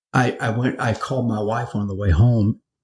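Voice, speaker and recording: With an American accent, a man speaks in a somewhat breathy voice. His intonation is fairly even. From US South, Florida (Naples). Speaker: pastor. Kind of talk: interview testimony. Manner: halting, repeats words.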